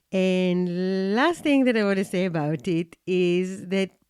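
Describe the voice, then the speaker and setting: A woman with a non-native accent, in a very clean recording with a silent background and a dry, close sound with no echo. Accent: non-native English speaker. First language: not English. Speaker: podcast host and coaching institute founder. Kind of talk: podcast monologue. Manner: slow.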